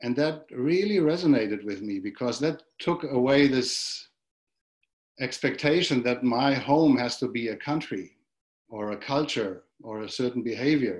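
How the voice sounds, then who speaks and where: A man speaks with a German accent at a fairly slow pace. His medium-pitched voice has lively intonation. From Germany. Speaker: monk, dharma teacher. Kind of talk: dharma talk. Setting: video call.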